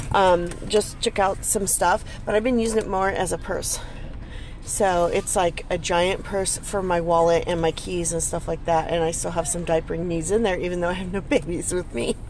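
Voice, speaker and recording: An ordinary speaking voice with fairly even intonation runs at a moderate pace, with a dry, echo-free sound and light background noise. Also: woman, fairly low pitch for a woman. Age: 40s. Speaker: stay-at-home mom; product reviewer. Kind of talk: casual product review to camera. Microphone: phone near.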